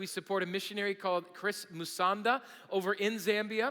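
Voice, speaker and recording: A man talks very fast in a raised, projected voice. His pitch is high and his tone bright and sharp. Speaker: pastor. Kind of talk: sermon. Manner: energetic.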